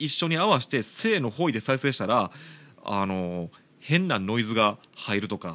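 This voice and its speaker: Against a quiet background, a man in a Kansai accent talks at a fairly slow pace with very wide pitch swings. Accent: Kansai Japanese. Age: 30s. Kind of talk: casual solo talk.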